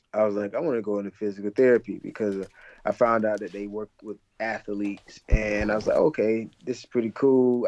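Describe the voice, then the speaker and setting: With an American accent, a man talks at a fairly quick pace. He has a normal speaking voice at medium pitch. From Alabama, US South. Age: 20s. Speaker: physical therapy student. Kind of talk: interview.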